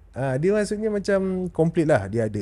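A man's dark, mellow tone at a fairly high pitch, with very wide pitch swings. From Malaysia. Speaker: podcast host. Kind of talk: interview. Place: studio. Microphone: studio mic.

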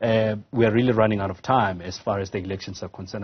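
The voice has a somewhat breathy quality. Its intonation is fairly even. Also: man. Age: 40s. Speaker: tv news anchor. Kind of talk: tv news interview.

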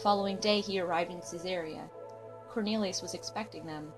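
Over music in the background, a woman with a fairly low voice talks very fast. Her intonation is lively. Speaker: scripture narrator. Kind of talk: scripture reading.

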